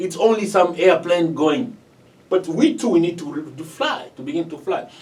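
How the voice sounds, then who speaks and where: Against noticeable background noise, a man with a non-native accent speaks with lively intonation. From DR Congo. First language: not English. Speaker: community organization leader. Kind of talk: interview. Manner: halting.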